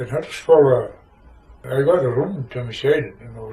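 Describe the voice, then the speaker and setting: In a Shetland accent, a man speaks at a medium pitch. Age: 80s+. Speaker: war veteran. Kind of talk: oral history interview answer.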